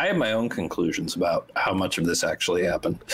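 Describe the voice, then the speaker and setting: A man speaks with an American accent. There is noticeable noise in the background. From Wisconsin, US Midwest. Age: 50s. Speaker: author and screenwriter. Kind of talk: interview.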